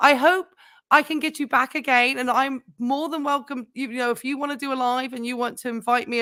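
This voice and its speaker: In a very clean recording with a silent background, a woman talks at a fairly quick pace in a high, bright, sharp tone. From southern England, Portsmouth. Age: 50s. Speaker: nurse and YouTube host. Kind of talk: casual chat. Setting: live stream. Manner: animated.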